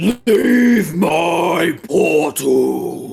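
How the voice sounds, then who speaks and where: A raspy, put-on character voice from a man. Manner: commanding, menacing.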